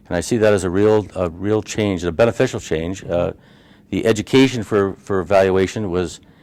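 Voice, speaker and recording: With an American accent, a man speaks at a moderate pace in a fairly low pitch with fairly even intonation. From Upstate New York. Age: 60s. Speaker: healthcare valuation consultant. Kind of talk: interview. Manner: halting, many fillers.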